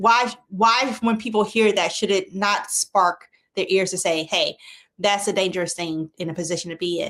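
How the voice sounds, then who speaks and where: Here a woman speaks with a South Carolina accent. Her pitch sits in the medium range. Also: ordinary pitch variation, moderate pace. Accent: Southern US (South Carolina). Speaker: TV health show host, doctor. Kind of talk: interview.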